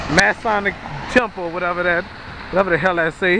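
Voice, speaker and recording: The voice comes with an American accent. The sound is dry with no echo, though there is noticeable background noise. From New Orleans, Louisiana. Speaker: video blogger. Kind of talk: walking vlog narration; casual narration. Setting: outdoors. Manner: halting. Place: street. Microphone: phone near.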